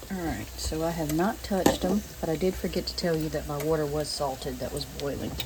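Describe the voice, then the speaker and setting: With a Southern US accent, a woman speaks at a fairly quick pace with hardly any pauses, amid noticeable background noise and audible room echo. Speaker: home cooking video creator. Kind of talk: cooking tutorial. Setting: home kitchen. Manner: casual, conversational; quiet, keeping voice down.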